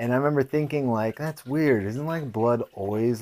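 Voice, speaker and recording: A man with a Californian accent and ordinary pitch variation. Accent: Californian American. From US West Coast, San Jose. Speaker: podcast host and fighter. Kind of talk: casual monologue.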